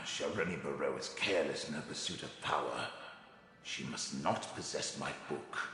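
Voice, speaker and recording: There is a strong echo as a man uses a put-on character voice at a moderate pace. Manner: haughty, bitter.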